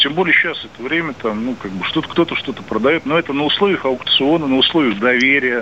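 A man with a fairly high pitch talks at a very fast pace with lively intonation over noticeable background noise. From Moscow, Russia. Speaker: caller, realtor. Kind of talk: phone-in call. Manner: hesitant, many fillers.

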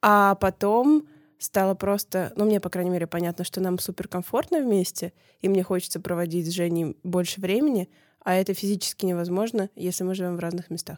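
In a normal speaking voice, a woman talks at a fairly quick pace with a medium pitch and ordinary pitch variation, the sound dry and close with no echo. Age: 20s. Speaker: podcast producer. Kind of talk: casual chat.

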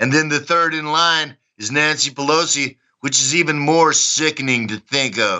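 This man has a Texan accent and a fairly high pitch. He speaks at a moderate pace with ordinary pitch variation. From Texas, Dallas. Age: 60s. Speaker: former soldier. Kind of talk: interview. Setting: remote call. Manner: high energy.

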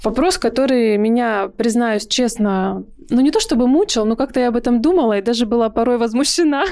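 A woman speaks at a high pitch in a dark, mellow tone. Her pace is fairly quick, her pitch varies in an ordinary way, and her loudness stays very even. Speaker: podcast host. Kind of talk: casual interview chat. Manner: warm, animated, cheerful.

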